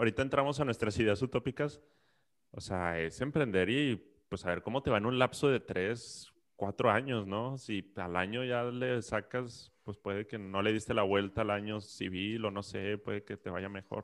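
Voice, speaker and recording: A man with a plain, everyday voice, fairly low in pitch, with ordinary pitch variation at a moderate pace on a very clean recording with a silent background. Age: 30s. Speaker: podcast co-host, psychologist. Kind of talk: casual chat.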